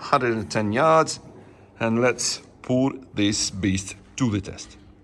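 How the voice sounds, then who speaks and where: A man with a Russian accent talks at a very slow pace. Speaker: gun channel host. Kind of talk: casual video presentation. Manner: halting.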